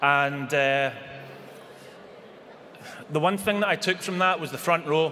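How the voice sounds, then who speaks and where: A man speaks in a Scottish accent at a fairly slow pace, with long, frequent pauses. His pitch is fairly high and varies in an ordinary way, over noticeable background noise. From Scotland. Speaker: businessman. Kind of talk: acceptance speech at a convention.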